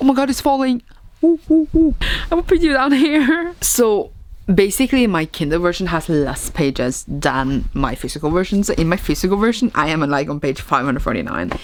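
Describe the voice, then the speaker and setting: A fairly quick pace with very wide pitch swings. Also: woman, medium pitch for a woman. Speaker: booktuber. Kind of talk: casual vlog. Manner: casual, rambling with fillers.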